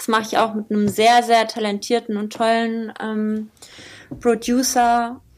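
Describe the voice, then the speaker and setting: A woman's fairly high-pitched, monotone, flat delivery at a fairly slow pace. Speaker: rapper. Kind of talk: casual interview.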